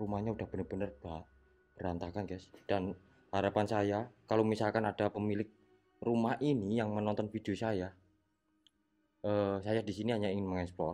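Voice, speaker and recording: Fairly quick, quiet male speech at a fairly low pitch with fairly even intonation and long, frequent pauses, music in the background. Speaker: ghost-hunting explorer vlogger. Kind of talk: on-location exploration vlog. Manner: quiet, low voice.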